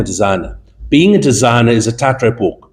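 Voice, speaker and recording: Vocal fry runs through a man's voice as he speaks with lively intonation. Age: 70s. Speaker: fashion buyer and judge. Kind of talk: panel interview.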